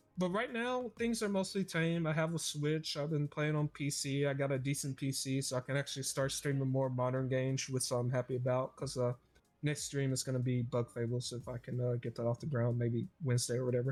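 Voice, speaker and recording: Music plays behind a man at medium pitch. He talks at a fairly quick pace with hardly any pauses and ordinary pitch variation. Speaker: podcast host. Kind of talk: casual chat. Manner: loud.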